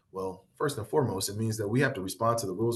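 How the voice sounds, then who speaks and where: This man has a Midwestern accent and a medium pitch. He sounds somewhat breathy, speaking at a fairly quick pace with fairly even intonation. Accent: Midwest twang. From US Midwest. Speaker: workshop facilitator. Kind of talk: workshop presentation. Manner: repetitive, self-correcting.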